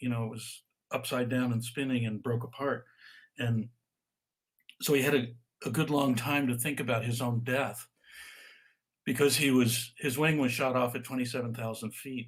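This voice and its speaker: Somewhat breathy, a man talks at a moderate pace in a medium pitch with fairly even intonation. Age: 70s. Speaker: author and stress expert. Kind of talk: interview on a live video call. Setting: video call. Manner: halting, with repeated words.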